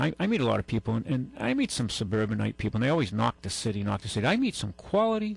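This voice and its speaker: Very fast speech in a Massachusetts accent, with music in the background. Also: man. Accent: southeastern New England (Massachusetts). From New Bedford, Massachusetts. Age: 60s. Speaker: radio host, car dealer. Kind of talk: call-in radio show. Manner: halting, repetitive.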